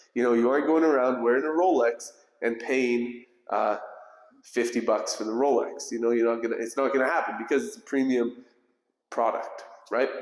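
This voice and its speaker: The pace is fairly quick, with ordinary pitch variation. Audible room echo surrounds the voice. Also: man, medium pitch for a man. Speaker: home tour video host. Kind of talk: home tour sales presentation. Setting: inside a show home. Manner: fast.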